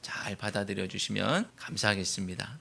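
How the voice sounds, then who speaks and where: A man speaks at a moderate pace in a bright, sharp tone with vocal fry. His pitch varies in an ordinary way. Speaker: pastor. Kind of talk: sermon. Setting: church. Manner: curt, stiff way of talking.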